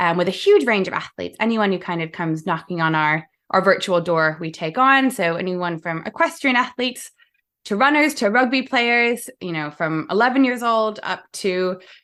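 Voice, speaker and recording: In a very clean recording with a silent background, a woman speaks at a medium pitch and a moderate pace. Her bright, sharp tone moves through very wide pitch swings. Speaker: sport psychologist. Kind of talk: podcast interview.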